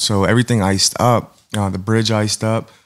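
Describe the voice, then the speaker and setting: A man with an American accent and a plain, everyday voice, fairly low in pitch, fairly quick, with fairly even intonation against a quiet background. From Pittsburgh area, Pennsylvania; Pennsylvania. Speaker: painter; podcast guest. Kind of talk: casual interview. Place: studio.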